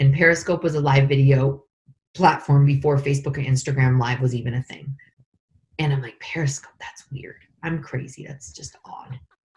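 A woman speaks at a moderate pace. Her voice is very deep and low, and somewhat breathy. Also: big swings in loudness. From Northern California. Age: 40s. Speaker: life coach. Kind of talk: guided meditation; interview. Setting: call. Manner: animated. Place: home room. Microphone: video call.

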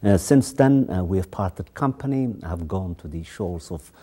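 A man with a very deep, low pitch talks at a moderate pace over a quiet background. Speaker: TV show host. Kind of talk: show introduction. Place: studio. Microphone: lapel.

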